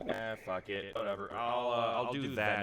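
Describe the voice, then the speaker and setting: A man talks with fairly even intonation, and noticeable background noise can be heard. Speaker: streamer and voice actor in training. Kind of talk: casual chat while gaming. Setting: livestream with voice chat. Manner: loud. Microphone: echo problem.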